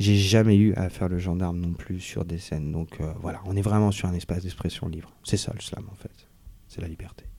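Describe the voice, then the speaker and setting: A man talks at a fairly quick pace with a very deep, low pitch. His tone is dark and mellow, and his intonation is monotone and flat. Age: 30s. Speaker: slam poet. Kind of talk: interview. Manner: casual.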